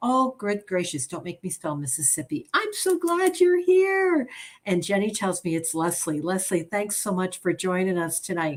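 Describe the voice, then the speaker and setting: A woman with an American accent speaks with very wide pitch swings. Her voice is somewhat breathy. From upstate New York, near Albany. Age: 60s. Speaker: direct sales consultant. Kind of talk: sales presentation livestream. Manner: fast; animated.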